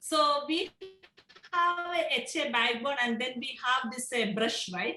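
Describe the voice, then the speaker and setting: With music in the background, a woman speaks in a raised, projected voice at a high pitch. Her intonation is lively and her pace fairly slow. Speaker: professor. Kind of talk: lecture.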